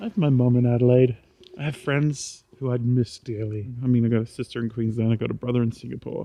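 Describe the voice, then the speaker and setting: Someone with an Australian accent speaks at a very fast pace with fairly even intonation. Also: man, medium pitch for a man. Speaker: vlogger. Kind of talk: casual vlog monologue. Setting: outdoors, walking at night. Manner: quiet; rambling with many fillers. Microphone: poor recording quality.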